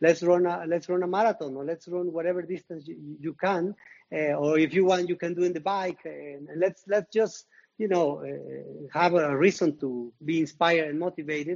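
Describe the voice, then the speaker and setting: The speaker has a Mexican accent and fairly even intonation. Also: man, high pitch for a man, moderate pace. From Mexico. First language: Spanish. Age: 50s. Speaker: retired marathon runner. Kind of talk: interview. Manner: halting, with repetitions.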